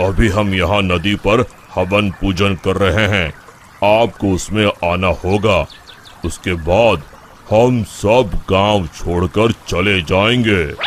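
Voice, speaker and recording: In a cartoonish character voice, a man talks at a very slow pace with a fairly low pitch, fairly even intonation and very even loudness, over clear background noise. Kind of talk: devout, formal Hindi. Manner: calm, measured.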